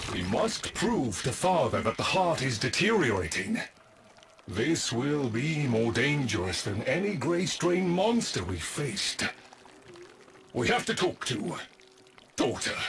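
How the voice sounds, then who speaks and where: Using a put-on character voice, a man speaks fairly slowly in a fairly high pitch, with very wide pitch swings and long, frequent pauses. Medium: video game.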